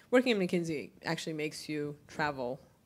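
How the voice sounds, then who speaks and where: Vocal fry in a woman's very deep, low voice, on a very clean recording with a silent background. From Japan, with childhood years in New York. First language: Japanese. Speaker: panel speaker, business consultant. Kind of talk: panel discussion.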